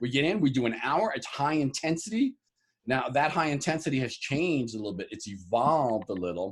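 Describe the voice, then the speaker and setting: A man's fairly high, fry-tinged voice with an American accent, very wide pitch swings and a fairly quick pace. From New York (Harlem). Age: 60s. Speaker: bodybuilder and fitness trainer. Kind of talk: interview.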